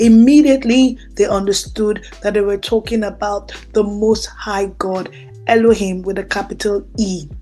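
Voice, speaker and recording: A woman with a Nigerian accent speaks at a fairly slow pace and a fairly high pitch. Her intonation is fairly even, and there is noticeable background noise. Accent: Nigerian (Yoruba) English. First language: Yoruba. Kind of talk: teaching monologue on scripture.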